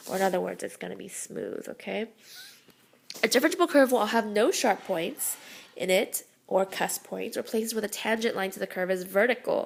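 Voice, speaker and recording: At a fairly quick pace, a woman talks with big swings in loudness. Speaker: math teacher. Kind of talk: lecture. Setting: screencast recorded on a tablet. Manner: fast.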